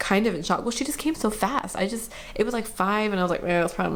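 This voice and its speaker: A woman mumbles with ordinary pitch variation. Room echo is audible, along with noticeable background noise. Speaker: vlogger sharing birth story. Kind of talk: casual personal story. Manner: fast; mumbling.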